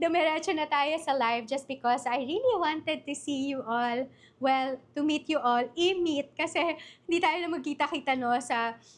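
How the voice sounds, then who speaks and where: Over a quiet background, the voice keeps a moderate pace and ordinary pitch variation. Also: woman, high pitch for a woman. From Philippines, Bulacan. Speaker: online business coach. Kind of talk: live-stream workshop. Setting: livestream. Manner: casual, code-switching Tagalog-English.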